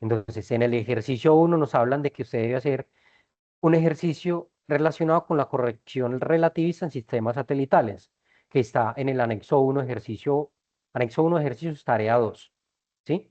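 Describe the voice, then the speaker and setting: Moving at a fairly quick pace, a man talks at a medium pitch with ordinary pitch variation. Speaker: university physics lecturer. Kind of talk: online lecture. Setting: video conference class. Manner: fast.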